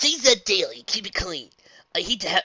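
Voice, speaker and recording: An extremely high-pitched, put-on character voice from a man. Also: fairly quick pace. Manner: put-on anime hero voice.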